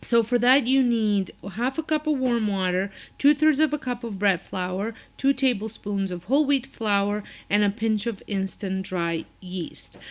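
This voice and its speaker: A woman with a non-native accent speaks fairly slowly in a fairly high voice with lively intonation, in a very clean recording with a silent background. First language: not English. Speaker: cooking channel host. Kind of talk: cooking tutorial. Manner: casual, with hesitations.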